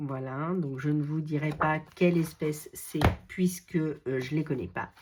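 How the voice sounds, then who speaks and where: A woman speaks at a very slow pace. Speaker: scrapbooking YouTuber. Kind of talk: casual product show-and-tell. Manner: hesitant, many fillers.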